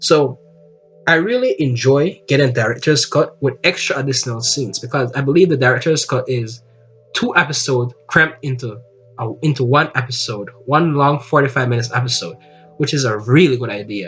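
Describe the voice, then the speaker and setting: Music plays behind a man who talks fairly quickly at a medium pitch in a non-native accent, with ordinary pitch variation. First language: not English. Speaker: anime YouTuber. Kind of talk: casual video review. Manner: halting, self-correcting.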